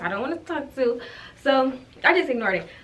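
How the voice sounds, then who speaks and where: Speaking at a very fast pace with lively intonation, a woman is heard over noticeable background noise with audible room echo. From Ohio. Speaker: YouTuber. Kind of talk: storytime vlog.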